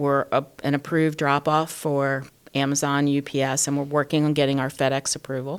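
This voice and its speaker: Monotone, flat intonation at a fairly quick pace. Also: woman, very deep, low pitch for a woman. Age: 60s. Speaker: small business owner. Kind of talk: interview.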